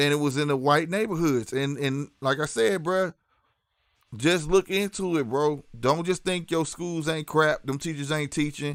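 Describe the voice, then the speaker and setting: Male voice with a St. Louis accent, fairly high pitch, ordinary pitch variation and a moderate pace. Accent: St. Louis city. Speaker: live streamer. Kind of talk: casual livestream chat. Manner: animated.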